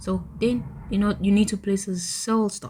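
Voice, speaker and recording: This woman's voice sits at a medium pitch and has a dark, mellow tone. It sounds somewhat breathy. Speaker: trading tutorial youtuber. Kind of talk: screen-recorded tutorial. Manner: fast; casual with frequent fillers.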